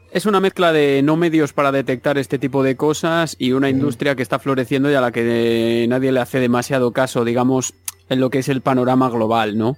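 An unremarkable speaking voice moves at a fairly quick pace with hardly any pauses. Its loudness stays very even and its intonation fairly even. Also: man, medium pitch for a man. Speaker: music and video game podcaster. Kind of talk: casual chat.

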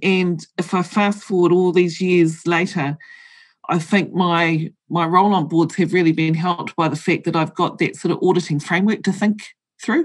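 A woman with a New Zealand accent speaks at a fairly low pitch, her intonation fairly even and her loudness very even, against a quiet background. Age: 50s. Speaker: board director and accountant. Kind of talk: interview.

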